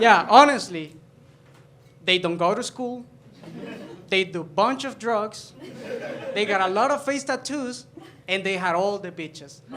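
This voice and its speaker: A man with a Spanish accent and high pitch talks at a fairly slow pace with ordinary pitch variation and long, frequent pauses. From El Salvador. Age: 20s. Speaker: stand-up comedian. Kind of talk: stand-up. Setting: stage with audience.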